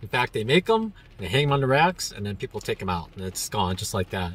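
A man's voice comes through in a dry sound with no echo. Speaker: travel vlogger. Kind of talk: casual vlog chat. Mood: cheerful, pleased. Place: car. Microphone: phone near.

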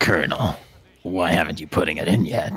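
A man in a put-on character voice, very deep and low in pitch, at a fairly quick pace. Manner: sly, sinister.

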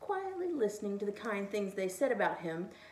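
Here a speaker is reading aloud in a natural voice.

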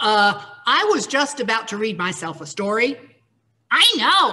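Over a quiet background, the speaker uses a natural reading voice with ordinary pitch variation.

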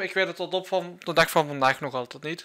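Against a quiet background, a man with a Flemish accent speaks at a high pitch in a bright, sharp tone with ordinary pitch variation. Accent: Flemish Dutch. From Flanders, Belgium. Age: 20s. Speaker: gaming YouTuber; youtuber. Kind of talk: vlog monologue. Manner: halting. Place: home room. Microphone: studio mic.

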